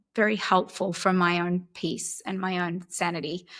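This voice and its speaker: A woman with an Australian accent at a fairly slow pace, on a very clean recording with a silent background. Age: 50s. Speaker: actress. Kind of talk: interview answer.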